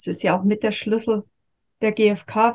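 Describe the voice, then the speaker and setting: This woman's tone is dark and mellow, somewhat breathy. She talks at a moderate pace with a fairly high pitch. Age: 50s. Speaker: yoga and communication teacher. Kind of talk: interview.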